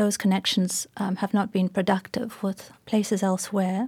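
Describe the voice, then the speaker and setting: A woman's medium-pitched voice, dark and mellow and somewhat breathy, at a moderate pace, dry and close with no echo, on a very clean recording against a silent background. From South Africa, Port Elizabeth. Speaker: poet and professor. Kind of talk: public conversation. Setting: stage with audience.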